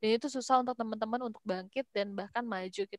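Very fast and monotone, a woman speaks at a fairly high pitch with a flat intonation, her sound dry with no echo over a quiet background. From West Java, Bandung; West Java. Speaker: young entrepreneur, hijab brand founder; guest. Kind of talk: webinar talk, casual. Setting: video call. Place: home room. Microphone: video call.

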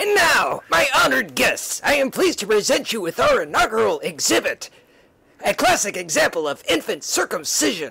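Moderately paced, in a put-on character voice. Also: man, extremely high pitch for a man. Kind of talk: comic-book hero overacting. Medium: read story. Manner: melodramatic, declamatory.

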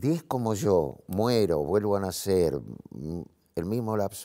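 A man with a fairly low voice speaks very slowly against a quiet background. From Argentina, Buenos Aires. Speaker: actor; talk show guest. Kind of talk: TV talk show interview. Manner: halting, many fillers. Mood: reflective, earnest. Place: studio. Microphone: lapel.

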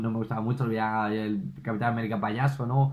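Against a quiet background, a man with a medium pitch talks at a fairly quick pace. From Spain. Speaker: YouTube film reviewer. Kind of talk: solo video review. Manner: animated. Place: home room.

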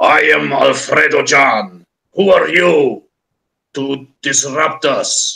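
Growling in a raspy, put-on character voice, a man speaks at a very slow pace. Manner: confrontational, imposing.

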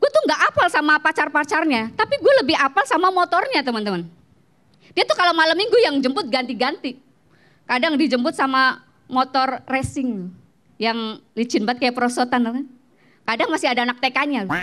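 Against a quiet background, a woman speaks in an animated, playful way, with high pitch, lively intonation and a bright, sharp tone. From Banjarnegara, Central Java. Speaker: stand-up comedian. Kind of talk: stand-up comedy set, personal anecdotes and punchlines. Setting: stage with audience. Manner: animated, punchline-driven, playful storytelling; casual Jakarta slang, quick and conversational. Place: stage. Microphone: handheld.

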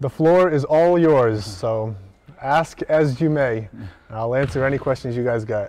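With dry sound and no echo, a man speaks at a fairly slow pace with ordinary pitch variation. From Boston area, US. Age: 30s. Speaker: professional basketball player. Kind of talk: casual interview on live stream. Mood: relaxed, friendly. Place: stadium.

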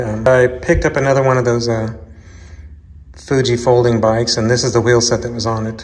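The man talks at a moderate pace. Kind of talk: casual tutorial narration. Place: garage. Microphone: phone near.

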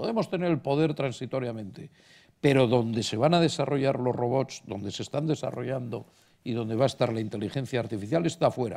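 On a very clean recording with a silent background, a man speaks fairly quickly in a dark, mellow tone with lively intonation. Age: old. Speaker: banking executive, economist panelist. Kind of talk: panel talk.

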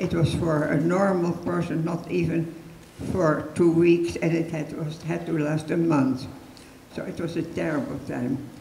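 With a Dutch accent, the speaker goes at a fairly slow pace with fairly even intonation, amid audible room echo and light background noise. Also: woman, very deep, low pitch for a woman. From Netherlands. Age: 80s+. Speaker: Holocaust rescuer, resistance member. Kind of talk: public talk, personal testimony. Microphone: handheld.

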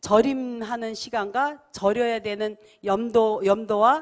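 A woman speaks at a fairly high pitch. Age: 60s. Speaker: master kimchi maker and food company head. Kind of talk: speech to audience.

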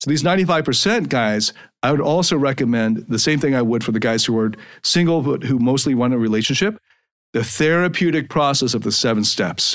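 A man with a normal speaking voice talks at a moderate pace in a medium pitch, with lively intonation and very even loudness. The recording is very clean, with a silent background. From Canada, suburban Toronto. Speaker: podcast host and life coach. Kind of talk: monologue podcast.

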